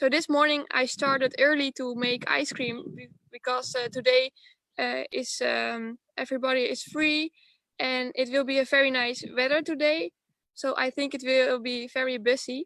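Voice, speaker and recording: A woman speaks at a moderate pace in a high pitch with a bright, sharp tone, fairly even intonation, and a dry, close sound with no echo. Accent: Dutch. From Netherlands. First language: Dutch. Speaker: dairy farmer's child running an ice cream business. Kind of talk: video interview. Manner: halting, searching for words.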